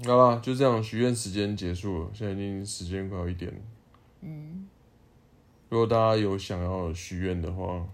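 A man with a fairly low pitch speaks at a moderate pace, his loudness swinging widely, with audible room echo. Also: ordinary pitch variation. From Taiwan, Taipei. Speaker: podcast co-host. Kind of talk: casual chat.

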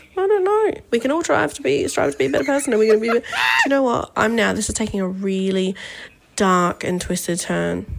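A woman talking at a fairly quick pace over noticeable background noise. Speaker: listener sending voice memo. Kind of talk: casual voice memo rant. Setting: voice memo recorded during work meeting. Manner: rambling, fast.

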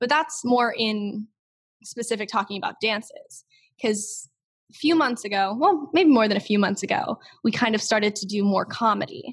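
A woman speaks at a fairly high pitch and a moderate pace. Her voice is somewhat breathy, with lively intonation. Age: young. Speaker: TikTok creator. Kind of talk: interview.

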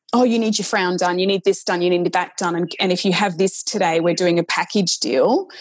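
Music plays in the background as a woman speaks with an Australian accent. Her pitch sits in the medium range. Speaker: nurse practitioner and author. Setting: video call.

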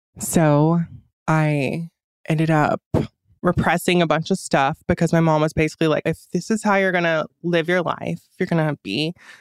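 A woman with an American accent uses a plain, everyday voice at a fairly low pitch and moderate pace, with fairly even intonation, very even loudness, and a dry, close sound with no echo. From US South, rural north Georgia. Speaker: drag performer. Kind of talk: casual chat.

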